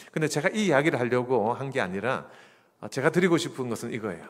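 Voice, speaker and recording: His intonation is lively. The man speaks with a Gyeongsang accent. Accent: regional non-Seoul Korean accent (Gyeongsang). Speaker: pastor. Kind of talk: sermon. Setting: church. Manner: conversational, humorous.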